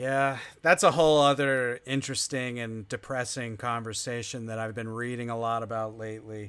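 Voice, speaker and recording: On a very clean recording with a silent background, a man with an American accent and a normal speaking voice talks at a moderate pace and medium pitch, with fairly even intonation, big swings in loudness and hardly any pauses. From New Jersey. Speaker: live stream host.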